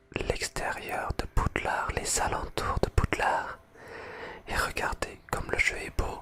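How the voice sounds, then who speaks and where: Whispering in a relaxed tone at a very slow pace, the voice sits over noticeable background noise. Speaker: ASMR content creator. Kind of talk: ASMR gameplay exploration, relaxed casual talk to camera. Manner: soft, relaxed, friendly.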